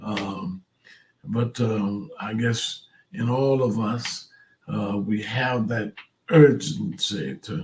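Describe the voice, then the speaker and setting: Speaking at a very slow pace, a man leaves long, frequent pauses. His intonation is lively. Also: medium pitch for a man. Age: 70s. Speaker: pastor. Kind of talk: devotional talk. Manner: halting.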